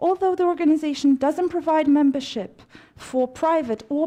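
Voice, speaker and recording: At a moderate pace, a woman speaks in a dark, mellow tone. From Romania. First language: Romanian. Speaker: congress speaker. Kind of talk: formal speech. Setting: stage with audience. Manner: formal.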